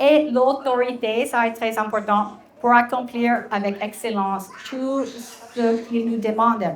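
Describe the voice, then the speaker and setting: A woman's high-pitched voice with an American accent, very slow and monotone, over noticeable background noise. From Texas, US. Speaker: Bible teacher and entrepreneur. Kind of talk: talk to an audience. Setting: restaurant event with audience. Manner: halting, many fillers.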